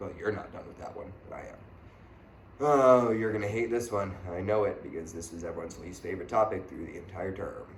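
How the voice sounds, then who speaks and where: Over light background noise and audible room echo, a man with a fairly low pitch talks at a fairly quick pace, with ordinary pitch variation and big swings in loudness. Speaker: math teacher. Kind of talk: tutorial. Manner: fast; casual. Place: classroom. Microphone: camera far.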